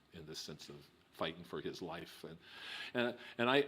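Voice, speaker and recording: With a New Mexico accent, a man speaks at a fairly quick pace. His intonation is lively. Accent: New Mexico, which he calls a non-. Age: 60s. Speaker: filmmaker. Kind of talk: oral history interview. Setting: recorded interview. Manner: halting, many repetitions.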